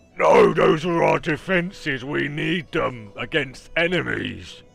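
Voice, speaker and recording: A man does a put-on character voice, raspy and fairly high in pitch. He goes at a fairly slow pace over faint music in the background. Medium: actual play. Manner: crude, blunt, ungrammatical.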